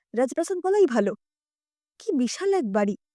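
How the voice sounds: A woman's dark, mellow voice at a fairly quick pace with big pitch swings, in a dry, close sound with no echo and a very clean recording with a silent background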